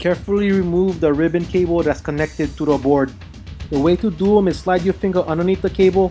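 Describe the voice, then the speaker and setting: The talking moves at a fairly quick pace while music plays in the background. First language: Hawaiian Pidgin. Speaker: retro console repair hobbyist. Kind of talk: tutorial narration. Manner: casual.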